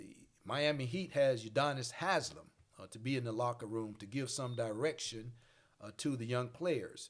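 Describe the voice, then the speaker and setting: A man speaks with a Mississippi accent. His loudness swings widely. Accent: Southern US (Mississippi). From US South, Mississippi Delta. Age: 60s. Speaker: pastor and podcast host. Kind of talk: casual discussion.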